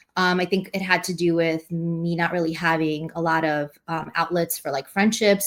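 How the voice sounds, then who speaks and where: Speaking at a moderate pace, a woman with a Russian accent has a fairly low pitch. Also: very clean recording, silent background. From New York City (Queens), born in Russia. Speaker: poet and teacher. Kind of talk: interview. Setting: podcast recording. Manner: halting, many fillers.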